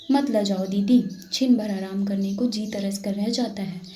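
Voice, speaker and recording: Soft-spoken and fairly even in intonation, a woman talks in a dark, mellow tone. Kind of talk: read story.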